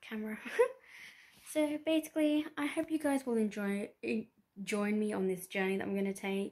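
Speaking at a moderate pace with a British accent, a woman makes very wide pitch swings over light background noise. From UK. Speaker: lifestyle vlogger. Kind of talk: casual talk to camera. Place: home room. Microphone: phone near.

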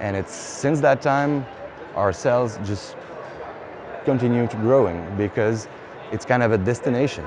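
A man with a French accent at a fairly slow pace, dry sound with no echo, and noticeable background noise. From Quebec, Canada. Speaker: brewery founder. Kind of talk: interview, casual talk about own business. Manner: halting, many fillers. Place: hall. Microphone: lapel.

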